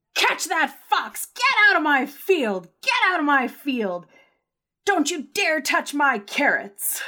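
Someone shouts in a put-on character voice with a high pitch, very wide pitch swings and a fairly slow pace. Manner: yelling, furious.

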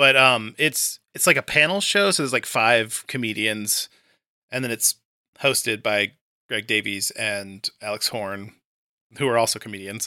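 On a very clean recording with a silent background and a dry, close sound with no echo, a man speaks at medium pitch in a bright, sharp tone, at a moderate pace with ordinary pitch variation. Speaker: podcast host and tabletop game writer. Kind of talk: casual interview chat.

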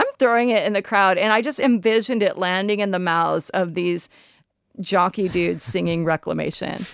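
Speaking in an unremarkable speaking voice with an American accent, a woman keeps a moderate pace and ordinary pitch variation on a very clean recording with a silent background. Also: medium pitch for a woman. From Olympia, Washington (US Pacific Northwest). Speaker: punk musician and singer. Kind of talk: casual interview chat.

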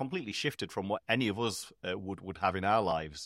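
In a northern English accent, a man talks at a fairly quick pace on a very clean recording with a silent background. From northern England. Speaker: podcast host. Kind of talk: casual chat.

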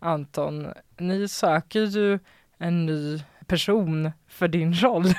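On a very clean recording with a silent background, a woman with fairly low pitch speaks very slowly, with ordinary pitch variation. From Västernorrland, northern Sweden (Sundsvall). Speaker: podcast host. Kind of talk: casual chat. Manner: animated.

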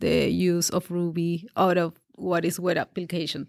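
A woman with a Peruvian accent and a fairly low pitch is heard on a very clean recording with a silent background. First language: Spanish. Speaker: developer and community organizer. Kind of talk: casual interview, personal story. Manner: halting, searching for words.

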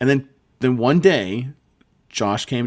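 In a normal speaking voice, a man talks at a moderate pace with ordinary pitch variation on a very clean recording with a silent background. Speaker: game master and podcast co-host. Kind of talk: casual chat.

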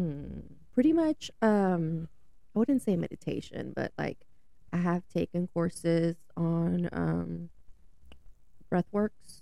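A woman speaks with an American accent. Her pace is very slow, with long pauses coming often. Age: 30s. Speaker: friend of the host. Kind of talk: casual chat. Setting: studio.

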